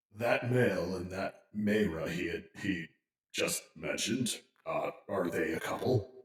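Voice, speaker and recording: A man adopts a put-on character voice, keeping to a medium pitch and a fairly slow pace. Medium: actual play.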